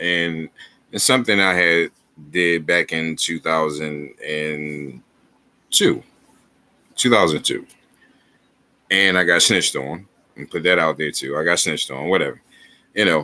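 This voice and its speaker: A man talks in a very deep, low pitch with ordinary pitch variation. His pace is fairly slow, with long, frequent pauses. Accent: American. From Philadelphia, North Philadelphia. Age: 30s. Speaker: YouTuber, first amendment auditor. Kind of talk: livestream monologue. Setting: home webcam livestream. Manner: halting, repetitive.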